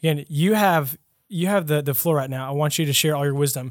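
A man talks at a fairly quick pace with an ordinary speaking voice. His pitch varies in an ordinary way on a very clean recording with a silent background. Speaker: podcast host. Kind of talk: casual interview. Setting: studio.

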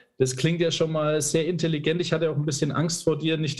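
With noticeable background noise, a man speaks in a fairly high pitch at a moderate pace with monotone, flat intonation. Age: 30s. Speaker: podcast host. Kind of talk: interview.

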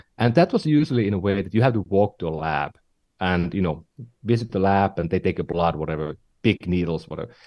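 A man with a Finnish accent talks very fast in a very deep, low voice with a dark, mellow tone. His pitch varies in an ordinary way over a quiet background. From northern Finland. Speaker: tech entrepreneur and investor. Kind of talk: podcast interview.

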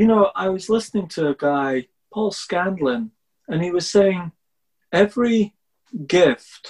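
A man talks at a very slow pace with lively intonation. The sound is dry and close, with no echo. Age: 50s. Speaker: podcast host and dyslexia coach. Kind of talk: interview.

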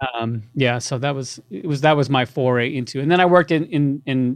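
Over a quiet background, a man with a New York accent speaks at a fairly quick pace. His pitch sits in the medium range. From New York, Long Island. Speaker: music producer. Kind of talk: interview.

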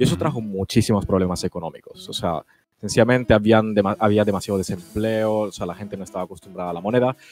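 Talking at a very fast pace, a man with a fairly low pitch and ordinary pitch variation swings widely in loudness. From Italy. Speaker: YouTuber. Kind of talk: casual chat.

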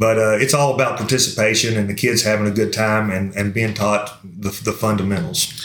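The speaker, with a Kentucky accent, goes at a fairly quick pace with hardly any pauses and ordinary pitch variation, amid noticeable background noise and audible room echo. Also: man, fairly low pitch for a man. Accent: Kentucky Southern US. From Somerset, Kentucky. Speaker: high school football coach. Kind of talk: interview.

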